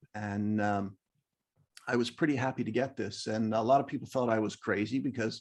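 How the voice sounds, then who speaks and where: A fairly quick pace and fairly even intonation over a quiet background. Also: man, medium pitch for a man. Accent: American. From US, Northern Virginia. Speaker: amateur photographer, club member. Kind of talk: show and tell presentation. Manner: hesitant, many fillers.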